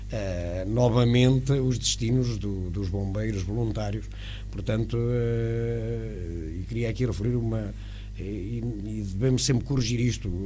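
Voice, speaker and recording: Over music in the background, a man talks at a fairly slow pace in a very deep, low voice that swings very widely in pitch. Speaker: interview guest. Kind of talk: interview answer. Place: studio. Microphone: studio mic.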